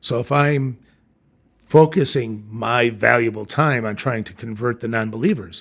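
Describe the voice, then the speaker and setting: On a very clean recording with a silent background, a man speaks at a moderate pace and medium pitch with ordinary pitch variation and big swings in loudness. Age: 60s. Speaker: leadership consultant and CEO. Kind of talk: podcast interview. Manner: hesitant, with many fillers.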